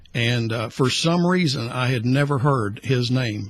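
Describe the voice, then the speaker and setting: Somewhat breathy male voice at medium pitch with ordinary pitch variation. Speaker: retiring radio host. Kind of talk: radio interview. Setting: radio studio. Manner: quiet.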